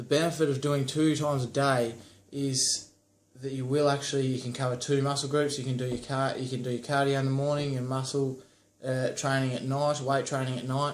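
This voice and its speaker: A man talks at a fairly quick pace in a medium pitch, his intonation flat and monotone. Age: 20s. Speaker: fitness vlogger. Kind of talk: tutorial. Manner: casual.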